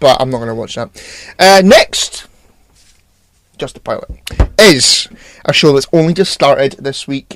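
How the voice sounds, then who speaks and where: A man talks in a Scottish accent. His pitch varies in an ordinary way. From Scotland. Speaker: podcast co-host. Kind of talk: casual chat.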